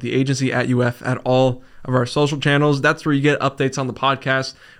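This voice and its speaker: The delivery is energetic and upbeat, at a fairly quick pace. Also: man. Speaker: podcast host. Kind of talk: casual interview chat. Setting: studio, sitting across a table. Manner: energetic, upbeat.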